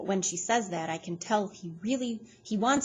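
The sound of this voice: An unforced reading voice carries the whole clip.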